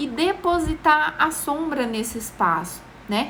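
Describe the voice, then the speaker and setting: Audible room echo surrounds a woman's raised, projected voice, high in pitch and swinging very widely. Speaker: makeup tutorial host. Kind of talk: live-stream tutorial. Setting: live stream.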